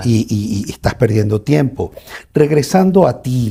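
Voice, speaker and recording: A man's voice sounds dark and mellow and somewhat breathy. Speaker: podcast host interviewing the guest. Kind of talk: interview question.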